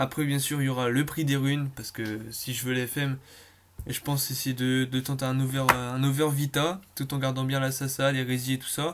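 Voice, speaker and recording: A man talks with monotone, flat intonation. His pitch stays in the medium range. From Brittany, France. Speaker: gaming YouTuber. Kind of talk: gameplay commentary. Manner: fast; hesitant, many fillers.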